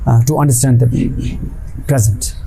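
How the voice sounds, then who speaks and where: A man with an Indian accent and medium pitch talks at a moderate pace, with noticeable background noise and audible room echo. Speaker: activist and poet. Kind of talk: interview. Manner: hesitant, many fillers.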